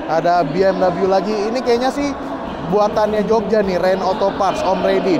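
A man in a dry sound with no echo, over loud background noise. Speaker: vlogger at car show. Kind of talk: casual vlog commentary. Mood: enthusiastic, impressed. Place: hall. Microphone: phone near.

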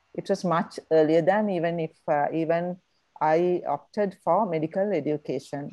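Against a quiet background, a woman speaks at a moderate pace with a dark, mellow tone, fairly low pitch and fairly even intonation. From Sri Lanka. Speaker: medical association president, doctor. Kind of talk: formal introduction. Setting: video call. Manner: hesitant, many fillers. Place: home room. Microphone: earbuds.

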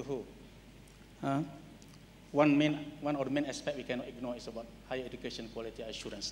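Over light background noise, a man with a Malaysian accent talks at a very fast pace with fairly even intonation. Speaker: qualification agency chief, panellist; panellist. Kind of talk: panel discussion. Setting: stage with audience. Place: hall. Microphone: handheld.

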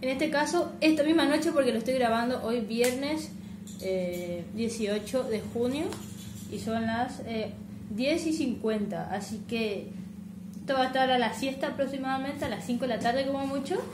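Over music in the background, a woman speaks at a high pitch and moderate pace with ordinary pitch variation. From Corrientes, Argentina. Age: 20s. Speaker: gaming YouTuber. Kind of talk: casual talk to camera. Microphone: headset.

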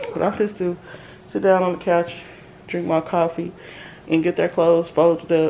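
A woman speaks at a moderate pace in a fairly low, monotone, flat voice, with long, frequent pauses over light background noise. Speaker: mom vlogger. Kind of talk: casual vlog chat. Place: kitchen.

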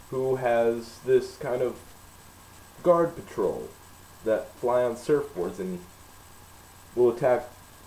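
Speaking at a very slow pace with long, frequent pauses, a man is heard with audible room echo. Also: ordinary pitch variation. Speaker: vlogger reviewing anime. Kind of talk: casual vlog chat. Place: home room. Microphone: webcam.

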